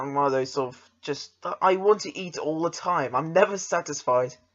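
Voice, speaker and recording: With an English accent, this man talks at a moderate pace in a fairly high pitch, using ordinary pitch variation. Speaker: podcast host. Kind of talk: casual chat.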